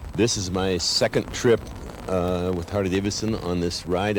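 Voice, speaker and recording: Over noticeable background noise, the speech comes in a monotone, flat intonation. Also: man. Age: 70s. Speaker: veteran motorcyclist. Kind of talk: interview.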